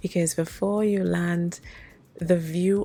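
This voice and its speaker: Music plays in the background. A woman speaks at a very slow pace in a fairly low pitch. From Trinidad. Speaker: soap maker. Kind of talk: tutorial.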